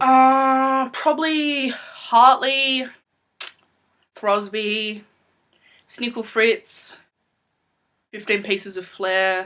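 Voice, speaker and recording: A woman with an Australian accent and a bright, sharp tone speaks at a very slow pace, leaving long, frequent pauses. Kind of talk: casual Q&A talk to camera.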